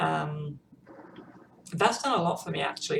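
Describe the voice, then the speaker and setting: The speaker is a woman. She talks with a British accent. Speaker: vlogger. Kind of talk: personal vlog update. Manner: halting, many ums.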